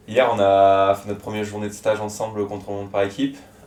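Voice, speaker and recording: Noticeable background noise under a man's fairly low voice moving at a fairly quick pace. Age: 20s. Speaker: amateur cyclist. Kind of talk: interview.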